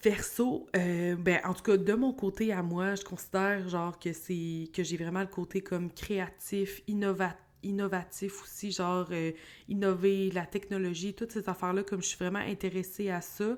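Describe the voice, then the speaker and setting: A woman with a Quebec accent, medium pitch and monotone, flat intonation at a fairly slow pace, in a very clean recording against a silent background. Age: 30s. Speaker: podcast host. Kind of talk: casual solo podcast monologue. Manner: casual, hesitant with many fillers.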